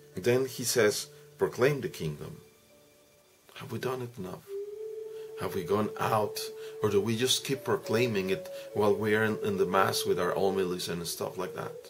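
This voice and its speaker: Clear music sits in the background as a man speaks at a moderate pace. His speech has long, frequent pauses. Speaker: priest explaining the gospel. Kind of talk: homily-style reflection. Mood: earnest, reflective, exhorting. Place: home room. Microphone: webcam.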